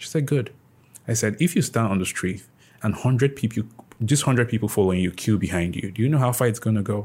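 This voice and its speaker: A man's medium-pitched, somewhat breathy voice at a very fast pace, with ordinary pitch variation, on a very clean recording with a silent background. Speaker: podcast host. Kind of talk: casual interview chat.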